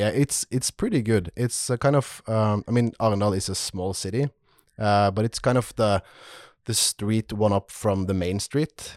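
A man speaks at a moderate pace with a Norwegian accent, his pitch fairly low and its variation ordinary. The recording is very clean and dry, close with no echo, over a silent background. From Norway. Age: 30s. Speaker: leather crafter. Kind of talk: casual chat.

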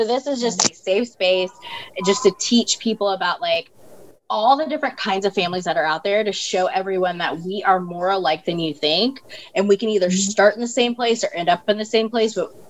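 A normal speaking voice with ordinary pitch variation. The pace is fairly quick. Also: woman, medium pitch for a woman. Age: 30s. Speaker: breast cancer survivor. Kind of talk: personal testimony in casual interview.

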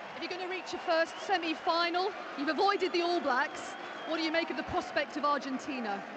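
A woman's extremely high voice at a fairly quick pace, with ordinary pitch variation and crowd noise in the background. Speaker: pitchside interviewer. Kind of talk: post-match interview questions.

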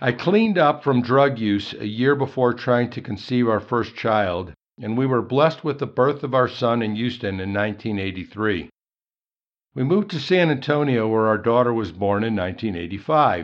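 A man with an American accent talks at a moderate pace in an ordinary speaking voice, his medium pitch carried by lively intonation. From Chicago, US Midwest. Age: 60s. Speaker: engineer sharing faith testimony. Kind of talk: testimony.

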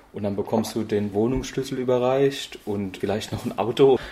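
A man at a moderate pace, an unremarkable speaking voice with fairly even intonation. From Germany. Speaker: couchsurfing host. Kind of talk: interview.

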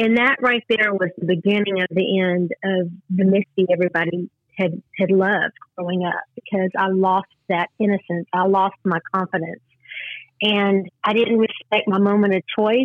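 A woman with a Texas accent and fairly even intonation. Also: medium pitch for a woman. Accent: Southern US, Texas drawl. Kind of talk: testimony. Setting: phone call.

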